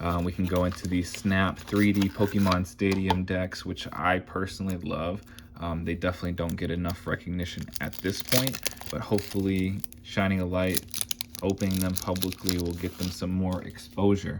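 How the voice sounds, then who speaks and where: Noticeable background noise sits behind a man with a very deep, low pitch. He talks at a moderate pace in a relaxed tone with monotone, flat intonation. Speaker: card collecting youtuber. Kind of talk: card opening commentary. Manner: casual, relaxed.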